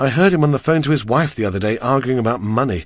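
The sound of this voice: The voice reads without any forcing.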